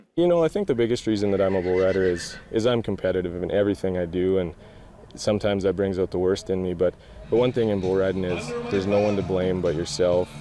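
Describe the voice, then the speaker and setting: Speaking at a very fast pace, a man with a western Canadian accent uses a very deep, low pitch, very even loudness and fairly even intonation. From Alberta, Canada. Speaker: professional bull rider. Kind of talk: interview.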